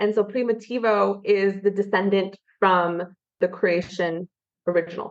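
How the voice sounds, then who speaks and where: This woman has an unremarkable speaking voice, medium in pitch, with an American accent and a moderate pace. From California. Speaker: wine expert. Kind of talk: podcast interview.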